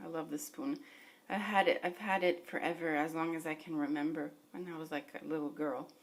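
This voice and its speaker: A woman at a moderate pace and fairly low pitch, with ordinary pitch variation and noticeable background noise. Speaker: beauty vlogger. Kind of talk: casual vlog. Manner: casual, lots of 'like'.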